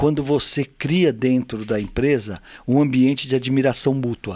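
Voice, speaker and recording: A man with a plain, everyday voice speaks at a fairly slow pace, his medium pitch showing ordinary variation. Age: 60s. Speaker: business executive and teacher. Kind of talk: interview excerpt, leadership advice.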